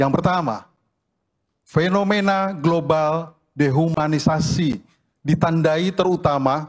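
This man has a fairly high pitch. He talks at a very slow pace. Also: quiet background. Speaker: religious leader. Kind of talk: reading aloud a formal declaration. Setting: stage with audience at a ceremony. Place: hall. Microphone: podium.

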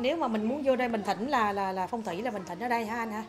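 With noticeable background noise, a woman speaks at a fairly quick pace in a fairly high voice with ordinary pitch variation. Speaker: vlogger. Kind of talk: casual vlog chat. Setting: outdoors at a resort. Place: shop.

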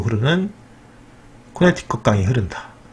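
A man speaks at a medium pitch and moderate pace. His pitch swings very widely. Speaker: educational YouTuber. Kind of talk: casual commentary reading from screen. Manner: conversational, frequent fillers.

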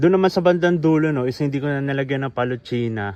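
A man speaks in an unremarkable speaking voice at a fairly high pitch. He talks at a fairly quick pace with ordinary pitch variation. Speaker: vlogger. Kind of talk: tutorial. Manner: casual.

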